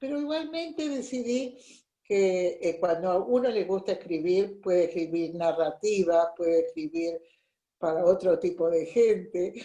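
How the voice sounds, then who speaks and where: Speaking at a fairly slow pace, a woman has a medium pitch. Her tone is dark and mellow, and her intonation is lively. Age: 80s+. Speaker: workshop participant. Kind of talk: casual chat.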